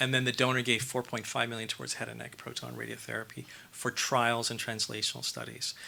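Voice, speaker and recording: With an American accent, a man speaks at a medium pitch and a fairly quick pace, his tone bright and sharp, with vocal fry. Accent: North American accent noticeable in England. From Canada. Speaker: cancer research professor and centre director. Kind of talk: conference Q&A answer. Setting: conference hall with audience. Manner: conversational with frequent fillers and repetitions.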